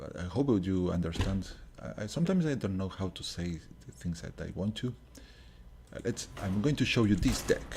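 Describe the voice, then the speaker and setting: Using a very deep, low pitch, a man speaks at a fairly quick pace in a somewhat breathy voice, with very wide pitch swings and big swings in loudness. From Uruguay. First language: Spanish. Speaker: gaming streamer. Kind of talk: gameplay commentary. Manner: halting.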